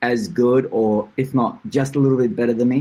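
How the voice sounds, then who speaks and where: This man's voice sits at a medium pitch, with a dark, mellow tone, an Australian accent and a moderate pace. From Australia, moved from Portugal at seven. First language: Portuguese. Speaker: tournament founder. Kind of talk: podcast interview.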